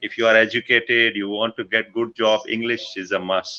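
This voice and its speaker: A man speaks with a Pakistani accent. His pitch is medium and his pace moderate. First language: Punjabi. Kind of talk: casual chat.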